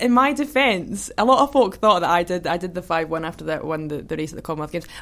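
A woman with a Scottish accent, very fast, her pitch swinging very widely. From Scotland, Kinross. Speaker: hurdler, athlete. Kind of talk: casual chat.

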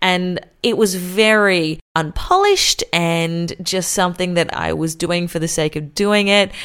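A woman speaks with an Australian accent at medium pitch and a fairly slow pace. She barely pauses, and the recording is very clean with a silent background. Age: 20s. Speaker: radio announcer and podcaster. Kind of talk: solo podcast monologue. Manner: casual, upbeat.

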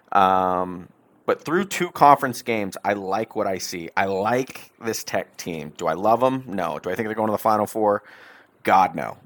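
A man with an American accent uses a normal speaking voice at a fairly low pitch with ordinary variation, at a moderate pace, in a dry, close sound with no echo on a very clean recording with a silent background. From Texas (Dallas area). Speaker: sports podcast host. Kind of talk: casual solo podcast monologue.

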